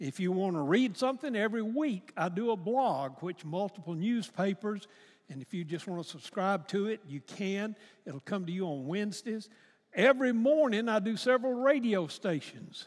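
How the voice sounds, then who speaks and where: With an Alabama accent, a high-pitched man talks at a moderate pace using lively intonation. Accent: Southern US (Alabama). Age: 80s+. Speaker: retired pastor. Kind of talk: sermon. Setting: church.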